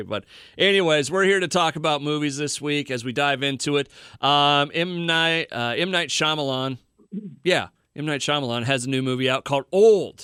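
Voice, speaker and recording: A man's bright, sharp voice at a fairly high pitch and moderate pace, in a very clean recording with a silent background. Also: ordinary pitch variation. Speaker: radio show host. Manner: casual, conversational.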